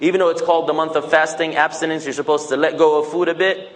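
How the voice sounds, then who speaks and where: Noticeable background noise accompanies a man whose voice is fairly high in pitch. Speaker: Islamic speaker. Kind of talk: talk to mosque audience. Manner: animated.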